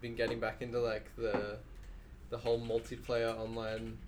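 Speaking at a moderate pace, a man with an Australian accent is heard with audible room echo. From Mornington Peninsula, Victoria, Australia. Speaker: game character artist. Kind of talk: casual chat.

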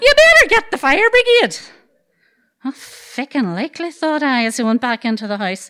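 In a Derry accent, a woman projects a raised, high-pitched voice with a bright, sharp tone, very wide pitch swings and a moderate pace, all dry and close with no echo. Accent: Northern Irish (Derry). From Northern Ireland, Dungiven, County Londonderry. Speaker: storyteller. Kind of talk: live storytelling. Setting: stage with audience.

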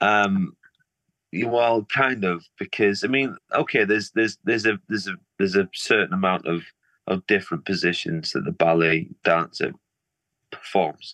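A man with a northern English accent at a moderate pace and fairly low pitch, bright and sharp in tone with ordinary pitch variation, long, frequent pauses, a quiet background and a dry, close sound with no echo. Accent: Liverpool-tinged northern English. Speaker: artist. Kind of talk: casual interview chat. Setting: video call.

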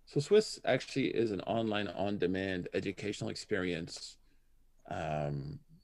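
This man uses an ordinary speaking voice. His pitch is fairly low, with ordinary pitch variation. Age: 40s. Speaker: imam and Islamic scholar. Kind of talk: casual interview.

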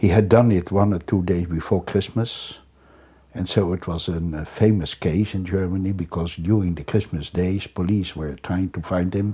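With a Dutch accent, a man speaks at a moderate pace in a very deep, low pitch, his dark, mellow tone somewhat breathy and his intonation fairly even, on a very clean recording with a silent background. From Netherlands. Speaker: criminologist. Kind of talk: interview. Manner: halting.

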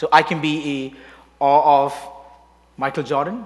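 At a moderate pace, a man with a non-native accent speaks in a fairly high pitch. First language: not English. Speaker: worship leader. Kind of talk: sermon. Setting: church. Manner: halting.

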